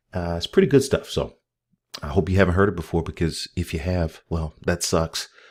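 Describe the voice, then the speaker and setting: Speech with an American accent, captured in a very clean recording against a silent background. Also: man. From northern US, steel town region. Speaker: crypto YouTuber. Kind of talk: casual vlog commentary. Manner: fast; animated.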